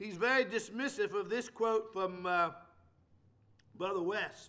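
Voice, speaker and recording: A man with a high pitch raises and projects his voice in a bright, sharp tone. He moves at a fairly slow pace with long, frequent pauses. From England. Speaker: preacher. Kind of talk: lecture. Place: church. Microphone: podium.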